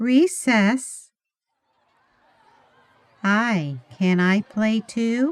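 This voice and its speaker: With an American accent, a woman speaks at a fairly high pitch. Her pitch swings very widely. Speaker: English teacher. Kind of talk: animation story for English learners. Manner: slow, clear.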